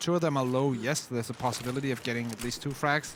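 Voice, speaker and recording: Very fast in pace, a man talks at a medium pitch. His pitch varies in an ordinary way over noticeable background noise. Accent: non-native. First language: not English. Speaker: esports commentator. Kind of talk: live commentary.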